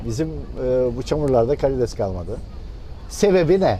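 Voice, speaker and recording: Noticeable background noise and audible room echo are both present as a man talks. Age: 60s. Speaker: fisherman, former cooperative head. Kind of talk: interview. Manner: hesitant, many fillers.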